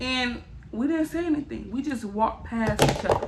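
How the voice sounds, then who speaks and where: Amid noticeable background noise, a woman with a high voice speaks at a fairly slow pace and ordinary pitch variation. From Miami, Florida. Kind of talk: casual storytime talk to camera.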